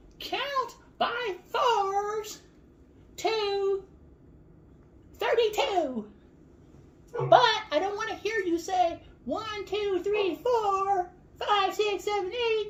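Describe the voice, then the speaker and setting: Putting on a squeaky character voice, a female-sounding speaker talks at an extremely high pitch and a very slow pace, with long, frequent pauses. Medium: read story.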